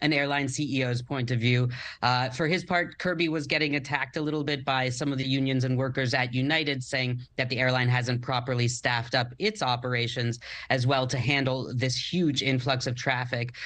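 This man has a bright, sharp tone and a fairly even intonation. He keeps a moderate pace at a very even loudness. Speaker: guest. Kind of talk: interview answer. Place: home room. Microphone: video call.

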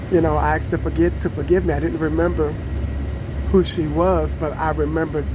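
Noticeable noise fills the background. Over it, a man speaks very fast. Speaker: vlogger. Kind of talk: casual vlog chat. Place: bus. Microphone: phone near.

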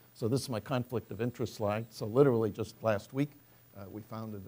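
Using a dark, mellow tone, a man talks at a very fast pace with fairly even intonation. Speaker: professor, chemistry researcher; speaker. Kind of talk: scientific lecture. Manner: hesitant, many fillers. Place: hall. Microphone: podium.

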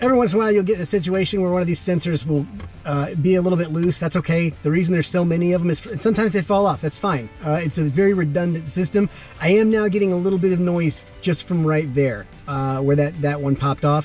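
At a very fast pace, a high-pitched man speaks with very even loudness and ordinary pitch variation, the sound dry with no echo and faint music in the background. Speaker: presenter. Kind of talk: casual vlog chat. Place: plane. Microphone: phone near.

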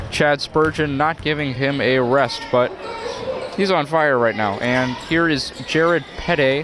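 A man with a fairly high pitch at a very slow pace, very even loudness and ordinary pitch variation, in a dry sound with no echo over noticeable background noise. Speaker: sports commentator. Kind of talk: live play-by-play sports commentary. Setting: high school gym broadcast. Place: hall.

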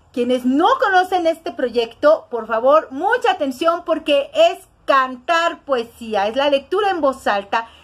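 A fairly slow, high-pitched woman's voice. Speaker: show host. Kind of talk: show introduction. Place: home room. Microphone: webcam.

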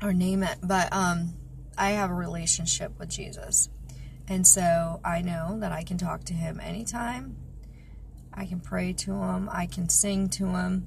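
Light background noise sits behind a woman speaking at a fairly slow pace. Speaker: vlogger. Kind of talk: casual vlog chat. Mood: reflective, personal. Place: car. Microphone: phone near.

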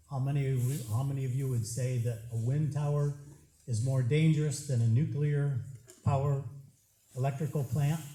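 A man's dark, mellow, somewhat breathy voice at a medium pitch, monotone and flat, at a moderate pace with long, frequent pauses and audible room echo. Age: 70s. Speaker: resident speaking at public hearing. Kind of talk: public comment at hearing. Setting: township public hearing.

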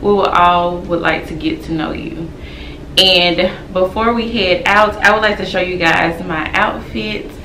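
At a fairly slow pace, a woman talks with ordinary pitch variation. Audible room echo and light background noise are present. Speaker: home decor vlogger. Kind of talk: casual vlog chat. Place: home room.

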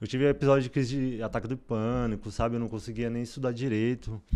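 The man's pitch sits in the medium range, and his intonation stays fairly even. The background is quiet. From São Paulo, Brazil. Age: 20s. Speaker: medical student; interview guest. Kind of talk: interview. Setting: studio. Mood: reflective, personal story. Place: studio. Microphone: studio mic.

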